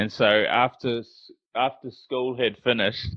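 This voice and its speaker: A man speaks with a New Zealand accent. His pace is very slow. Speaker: podcast host. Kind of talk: interview podcast. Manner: halting, many fillers.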